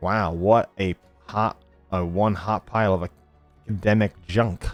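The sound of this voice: A man does a nasal, put-on character voice at a fairly low pitch with monotone, flat intonation and a moderate pace. Music plays in the background, and the sound is dry and close with no echo.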